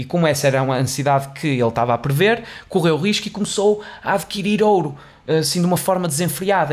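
The man's voice is high in pitch, with ordinary pitch variation. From Portugal. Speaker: podcast host. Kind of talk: solo educational monologue. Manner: halting, with repetitions and fillers. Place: studio. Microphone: studio mic.

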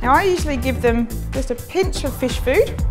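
A woman at a moderate pace, with clear music in the background. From Australia. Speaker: zoologist and wildlife TV presenter. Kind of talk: TV presenter showreel narration. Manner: enthusiastic, passionate.

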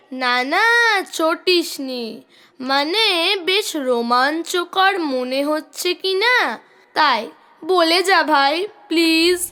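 Put-on character voice at an extremely high pitch. It moves at a very slow pace. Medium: read story. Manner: nervous, eager.

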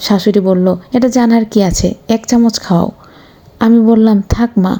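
Fairly even intonation accompanies plain reading aloud.

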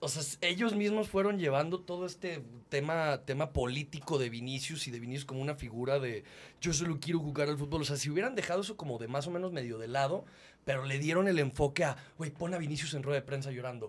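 Very fast pace with ordinary pitch variation. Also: man, fairly high pitch for a man. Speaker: football fan podcast co-host. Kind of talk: casual chat. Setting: studio, in person. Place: studio. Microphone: studio mic.

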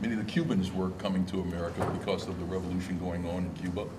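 A very deep, low-pitched male voice, very fast and monotone, over noticeable background noise. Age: old. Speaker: union leader, audience member; audience member. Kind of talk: audience question. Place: hall.

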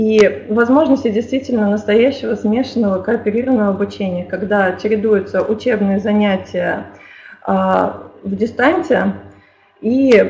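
Over noticeable background noise, a woman talks fairly slowly at a medium pitch with ordinary pitch variation. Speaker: school principal. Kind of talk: webinar presentation. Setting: online webinar. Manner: formal.

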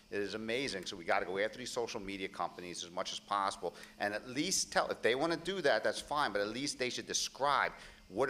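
Talking at a very fast pace, a man with an American accent has a fairly low pitch and a bright, sharp tone. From Pennsylvania. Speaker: congressional candidate; candidate. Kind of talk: political debate. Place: stage. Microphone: podium.

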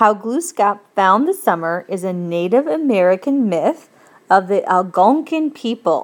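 Very wide pitch swings from a woman speaking at a fairly slow pace. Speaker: teacher. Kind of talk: classroom tutorial explaining a textbook lesson. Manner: conversational, asks guiding questions.

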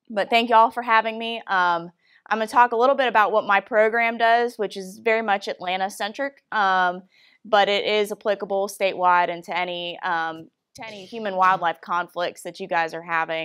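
A woman at a moderate pace with ordinary pitch variation, big swings in loudness and a quiet background. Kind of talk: presentation talk. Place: hall. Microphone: podium.

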